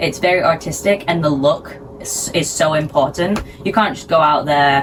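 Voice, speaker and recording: The speaker has a British accent. Noticeable background noise runs underneath. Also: woman, very deep, low pitch for a woman, moderate pace. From Sheffield, England. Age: 20s. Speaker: figure skater. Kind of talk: interview answer.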